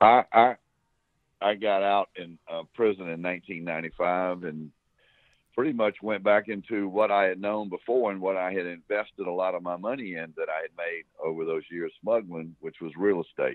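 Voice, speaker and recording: A man with a Southern US accent, fairly low pitch and fairly even intonation. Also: moderate pace. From South Carolina. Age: 60s. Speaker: former smuggler. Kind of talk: interview. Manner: halting, repeats words.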